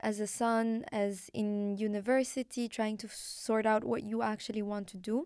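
A woman with an Arabic accent talks at a moderate pace, fairly high in pitch with monotone, flat intonation. The recording is very clean, with a silent background. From Morocco. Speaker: podcast host. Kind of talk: interview.

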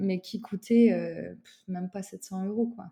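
At a fairly slow pace, a woman speaks with a dark, mellow tone and fairly even intonation. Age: 20s. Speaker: psychologist and former working-holiday traveller. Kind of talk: casual interview. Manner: hesitant, many fillers.

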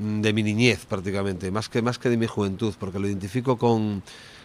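Fairly quick and fairly even in intonation, a man's normal speaking voice sits fairly low in pitch. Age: 50s. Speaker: rock singer. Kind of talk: interview.

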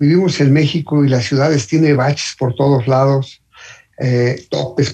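Somewhat breathy, a man's voice has a dark, mellow tone at a medium pitch, with ordinary pitch variation. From Mexico City. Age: 60s. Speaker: motorcyclist. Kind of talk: casual chat. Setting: phone call.

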